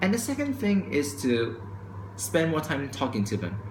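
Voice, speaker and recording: Somewhat breathy and with lively intonation, a man speaks amid audible room echo. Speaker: vlogger. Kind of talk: opinion vlog monologue. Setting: recorded to camera at home. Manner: fast.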